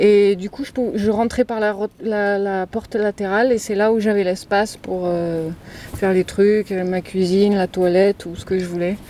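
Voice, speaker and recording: A woman talks at a fairly slow pace with monotone, flat intonation. Noticeable background noise is present. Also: medium pitch for a woman. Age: 40s. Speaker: van dweller. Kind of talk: interview. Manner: halting.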